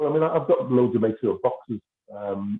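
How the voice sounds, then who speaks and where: This man's voice sits at a medium pitch, and he talks at a fairly quick pace. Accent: Liverpool. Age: 60s. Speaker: former professional footballer. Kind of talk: casual interview.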